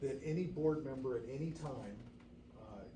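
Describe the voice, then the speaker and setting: There is audible room echo and noticeable background noise as a man speaks at a moderate pace with fairly even intonation. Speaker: fire district board member. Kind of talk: public meeting discussion. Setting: board meeting room. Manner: halting, many fillers.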